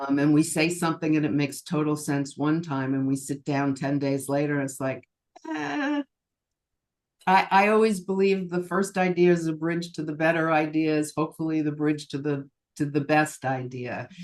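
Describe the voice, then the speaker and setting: A woman's very deep, low voice with fairly even intonation at a moderate pace. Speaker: cabaret singer. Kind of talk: interview answer.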